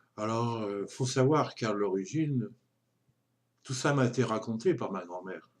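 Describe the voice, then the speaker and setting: A man speaks at a fairly slow pace and medium pitch with ordinary pitch variation. He leaves long, frequent pauses. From Brittany, France (Dinan). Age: 60s. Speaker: retiree vlogger. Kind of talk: personal monologue testimony. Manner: halting, many hesitations.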